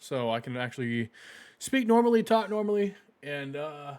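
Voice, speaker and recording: Loud and fairly high-pitched, a man speaks at a moderate pace with very wide pitch swings. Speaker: gaming streamer. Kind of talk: live stream commentary. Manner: filler-heavy, halting.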